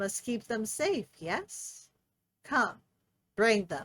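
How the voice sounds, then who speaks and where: A put-on character voice from a woman, fairly high in pitch, very slow, with hissing. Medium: read story. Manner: hissing, broken speech.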